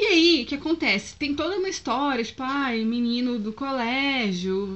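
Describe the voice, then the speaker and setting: Intonation rises and falls in a lively way. The pace is fairly slow. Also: woman. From Brazil, Foz do Iguaçu (Paraná). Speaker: vlogger. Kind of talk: casual vlog, selling used books. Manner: loud.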